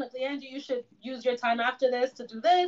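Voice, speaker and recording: The woman's voice is high, and her speed is moderate. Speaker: podcast co-host. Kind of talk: casual chat. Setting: home, quarantine. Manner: casual, slangy.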